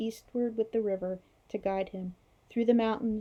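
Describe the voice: The intonation stays fairly even. The text is given as plain reading aloud.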